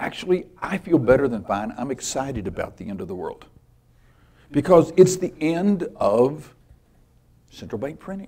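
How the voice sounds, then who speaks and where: A man talks with lively intonation. His tone is dark and mellow. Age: 60s. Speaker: financial newsletter writer and conference speaker. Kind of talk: conference presentation.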